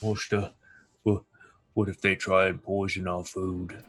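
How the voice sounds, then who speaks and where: A man puts on a character voice, very deep and low in pitch, delivered in a flat monotone at a moderate pace. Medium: actual play. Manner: halting, stammering.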